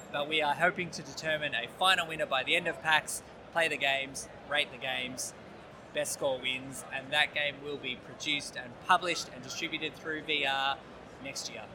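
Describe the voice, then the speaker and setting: This man has a normal speaking voice, fairly high in pitch, with fairly even intonation and a moderate pace. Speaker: game designer and illustrator. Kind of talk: interview.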